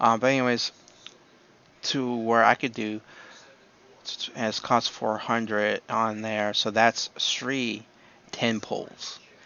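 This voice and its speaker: A soft-spoken man talks at a medium pitch in a monotone, flat intonation. His pace is very slow, with long, frequent pauses. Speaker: gaming YouTuber. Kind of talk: unscripted casual commentary. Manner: hesitant, many fillers.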